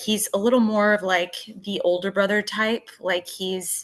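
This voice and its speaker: With a Texas accent, a woman speaks at a fairly slow pace, her medium pitch bright and sharp in tone and fairly even in intonation. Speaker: podcast co-host. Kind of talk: casual chat.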